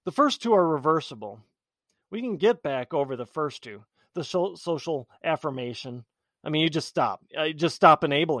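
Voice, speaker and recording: Against a quiet background, a man with a fairly high pitch talks at a moderate pace with lively intonation. His loudness swings widely, and the sound is dry and close with no echo. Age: 40s. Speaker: political podcast host. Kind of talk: solo commentary monologue. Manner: halting, many fillers and repeats.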